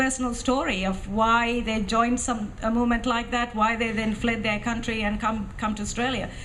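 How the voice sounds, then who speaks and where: A woman with a Tamil accent speaks at a high pitch and fairly quick pace. Audible room echo surrounds her voice. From Sri Lanka (Tamil). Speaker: author and former militant. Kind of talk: interview at film festival talk. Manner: hesitant, many fillers.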